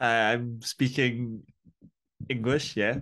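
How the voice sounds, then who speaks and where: Speaking in a flat monotone with a Scottish accent, a man at medium pitch has a bright, sharp tone. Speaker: metal band vocalist and drummer. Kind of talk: interview.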